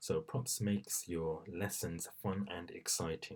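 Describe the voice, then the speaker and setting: A man is speaking. His voice is soft-spoken. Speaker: teacher. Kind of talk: tutorial. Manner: hesitant.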